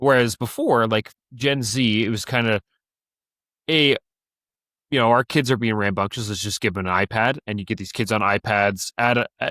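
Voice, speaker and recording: On a very clean recording with a silent background, a man's bright, sharp voice of medium pitch comes through dry and close with no echo, at a moderate pace with fairly even intonation. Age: 20s. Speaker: podcast co-host. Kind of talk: casual chat.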